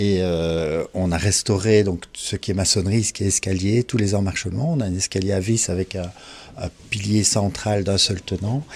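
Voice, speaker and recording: With a fairly low pitch and ordinary pitch variation, the man talks at a moderate speed. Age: 60s. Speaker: architect and property owner. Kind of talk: interview. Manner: hesitant, many fillers.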